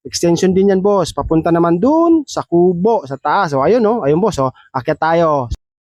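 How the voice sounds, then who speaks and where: The speech moves at a moderate pace with lively intonation and hardly any pauses. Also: man, high pitch for a man. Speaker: DIY video creator. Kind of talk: product demonstration. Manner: animated.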